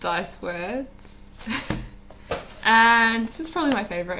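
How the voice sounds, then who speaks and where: With audible room echo, a woman talks at a very slow pace. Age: 30s. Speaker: vlogger. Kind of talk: casual chat. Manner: halting.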